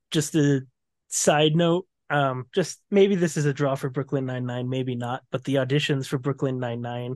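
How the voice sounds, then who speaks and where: Over a quiet background, a man with a plain, everyday voice speaks at a moderate pace, his fairly high pitch held in fairly even intonation. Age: 20s. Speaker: podcast co-host. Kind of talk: chapter summary and casual chat. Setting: video call.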